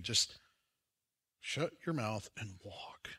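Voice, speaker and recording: The voice has a warm tone along with a bright, sharp tone, in an American accent. Its intonation is lively. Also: man, very clean recording, silent background. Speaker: preacher. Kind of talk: sermon. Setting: church. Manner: conversational and warm, with humor and asides; animated, emphatic, rhetorical questions to the congregation.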